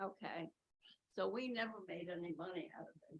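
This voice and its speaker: In an American accent, a woman talks at a moderate pace with a fairly low pitch, vocal fry, and very wide pitch swings. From New Jersey. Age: 80s+. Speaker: resident speaking at public comment. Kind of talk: public comment at council meeting.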